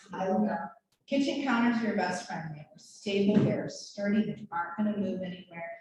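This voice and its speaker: A woman speaking fairly quickly at a medium pitch, her pitch varying in an ordinary way. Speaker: nurse and injury prevention educator. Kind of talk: health education talk to a group. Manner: animated.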